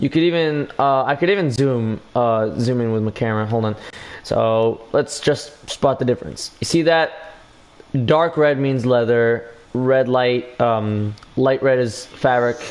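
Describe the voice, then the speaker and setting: At a fairly slow pace, a man speaks in a medium pitch with ordinary pitch variation over noticeable background noise. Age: young. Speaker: gaming livestreamer. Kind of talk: casual livestream chat. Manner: halting.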